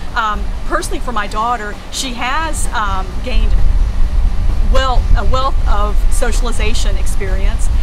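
A woman's voice over music in the background. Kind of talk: interview answer. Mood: warm, enthusiastic. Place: open country.

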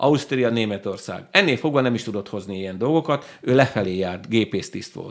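Over a quiet background, a man at a medium pitch speaks at a moderate pace with lively intonation, hardly any pauses and big swings in loudness. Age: 50s. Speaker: book club owner, former ship captain; interview guest. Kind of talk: interview. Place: studio. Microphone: studio mic.

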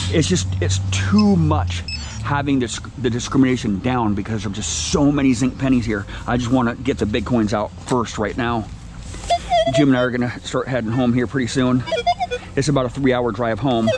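The man's voice is dry with no echo, though loud noise fills the background. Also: ordinary pitch variation, moderate pace. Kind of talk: casual hobby commentary. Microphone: phone near.

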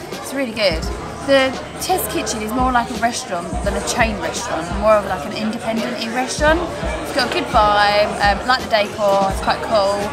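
Over loud music in the background, a woman talks at a moderate pace with ordinary pitch variation. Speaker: food vlogger. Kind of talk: casual vlog chat. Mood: pleased, full after meal. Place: cafe. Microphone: phone near.

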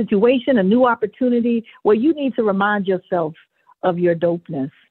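A woman's normal speaking voice at a medium pitch. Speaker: performance coach. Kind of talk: interview.

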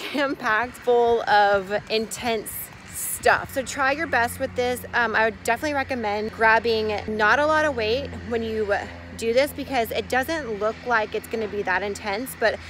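Music plays in the background as a woman speaks at a moderate pace, the sound dry with no echo. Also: ordinary pitch variation. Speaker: fitness vlogger. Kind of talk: casual vlog chat. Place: street. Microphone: phone near.

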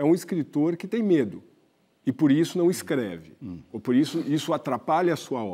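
A man speaks in a dark, mellow tone. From Brazil. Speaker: magazine columnist; journalist interviewer. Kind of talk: TV interview questions. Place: studio. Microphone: lapel.

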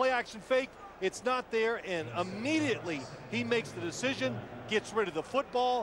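A man's voice, dry with no echo, moves at a moderate pace through noticeable background noise. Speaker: TV game analyst. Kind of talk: commentary.

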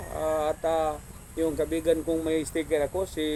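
A man speaks at a moderate pace in a fairly high pitch, with noticeable background noise behind him. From Mindanao, Philippines. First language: Cebuano (Bisaya) (speaking Tagalog). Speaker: vlogger. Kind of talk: casual vlog narration.

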